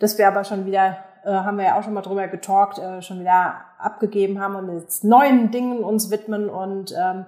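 Her intonation monotone and flat, a woman speaks at a moderate pace and a medium pitch. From Germany, Aschaffenburg (Lower Franconia). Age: 40s. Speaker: business owner. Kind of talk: interview. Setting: video call.

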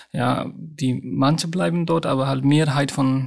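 A man's voice at a medium pitch. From Nepal. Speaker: hospital doctor. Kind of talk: interview. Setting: remote line.

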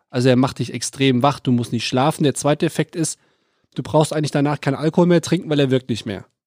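The recording is very clean with a silent background and a dry, close sound with no echo, as a man talks very fast in a fairly high pitch with ordinary pitch variation. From Lower Rhine, western Germany. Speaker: podcast co-host. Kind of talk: casual chat.

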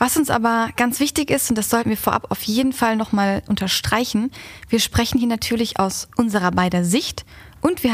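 A woman speaks in a fairly high voice. Her tone is somewhat breathy. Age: 20s. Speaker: podcast host, marketing employee. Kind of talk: casual scripted podcast intro.

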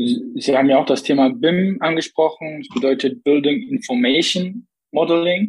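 Moderate-paced speech from a man with a fairly high voice, big swings in loudness and very wide pitch swings. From Saxony, Vogtland (Plauen). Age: 20s. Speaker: member of parliament, civil engineer. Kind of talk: interview.

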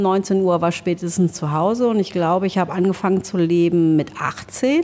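In an ordinary speaking voice, a woman talks at a medium pitch. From Germany, Trier region (born in Laos). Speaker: restaurant owner. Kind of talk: interview.

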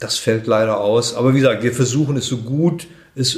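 A man speaks at a moderate pace with fairly even intonation, and audible room echo surrounds his voice. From Germany, Braunschweig. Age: 60s. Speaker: head of a charity for elderly people. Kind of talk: interview. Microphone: muffled from wearing a mask.

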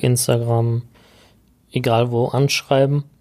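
A man at medium pitch, very slow pace and monotone, flat intonation. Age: 30s. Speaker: podcast host, IT business owner. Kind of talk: podcast intro monologue. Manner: casual with filler sounds.

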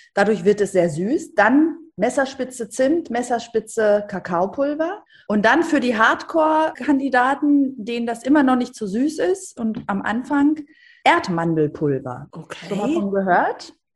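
Speaking at a fairly slow pace, a woman with a high pitch moves through very wide pitch swings. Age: 50s. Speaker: TV presenter and author. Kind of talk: podcast interview. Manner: animated.

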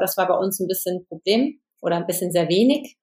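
A woman's unremarkable speaking voice, fairly quick, with fairly even intonation. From western Germany (Hesse and Lower Rhine). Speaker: film and TV director. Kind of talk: interview.

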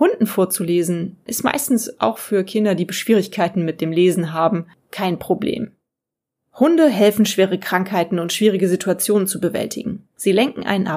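The woman's voice sits at a medium pitch, with a dark, mellow tone. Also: ordinary pitch variation, moderate pace. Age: 40s. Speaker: podcast host and freelance journalist. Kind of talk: solo podcast monologue.

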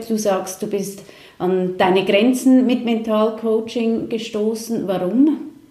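A woman's fairly high voice at a fairly slow pace, fairly even in intonation, with audible room echo and noticeable background noise. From Switzerland. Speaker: talk show host. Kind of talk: interview.

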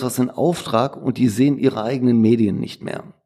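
A man with a slight Ruhr accent, medium pitch, a dark, mellow tone, ordinary pitch variation, and a moderate pace, on a very clean recording with a silent background. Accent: Ruhrpott dialect, slight. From Ruhr area, Duisburg. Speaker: print shop owner. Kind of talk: interview.

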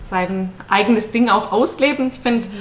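A woman is speaking. She keeps to a fairly slow pace. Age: 30s. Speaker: controller in energy sector, podcast guest. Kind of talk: casual interview. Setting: studio, sitting next to husband.

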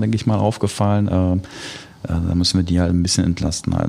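Against noticeable background noise, a man with a very deep, low pitch speaks at a moderate pace. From Germany, Dortmund. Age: 40s. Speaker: goalkeeper coach. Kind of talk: casual interview chat.

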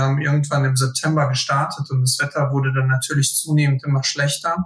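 Somewhat breathy and fairly high-pitched, a man talks at a moderate pace with monotone, flat intonation. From Hesse, Germany (Friedberg area). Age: 20s. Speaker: fitness group organizer. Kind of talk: casual interview.

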